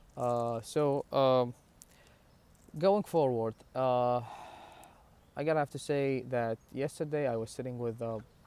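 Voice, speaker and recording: A man with an Iraqi accent and a dark, mellow tone speaks at a fairly slow pace with ordinary pitch variation and long, frequent pauses. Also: medium pitch for a man. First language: Arabic. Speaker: religious vlogger. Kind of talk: personal talk to camera. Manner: halting, many fillers and restarts.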